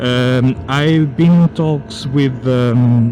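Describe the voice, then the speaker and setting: A medium-pitched man with a non-native accent and fairly even intonation, over noticeable background noise. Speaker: motorcycle vlogger. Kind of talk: product review. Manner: halting, many fillers.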